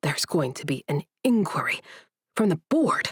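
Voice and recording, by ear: A put-on character voice at middle pitch growls and hisses at a moderate pace.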